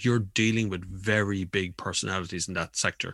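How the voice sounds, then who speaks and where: Speaking at a moderate pace with an Irish accent, a man talks against a quiet background. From Ireland. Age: 40s. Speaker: motoring journalist and YouTuber. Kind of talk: casual chat.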